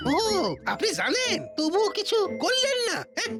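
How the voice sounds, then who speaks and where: Someone talks in a cartoonish character voice. Clear music plays in the background. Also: moderate pace. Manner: wheedling.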